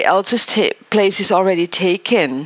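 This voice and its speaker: The speaker is a woman with a non-native accent. Her intonation stays fairly even. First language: not English. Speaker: spiritual wellness show host. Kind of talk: casual chat. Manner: halting.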